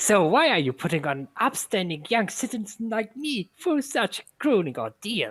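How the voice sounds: A man puts on a character voice pitched high, swinging very widely in pitch at a moderate pace with hardly any pauses.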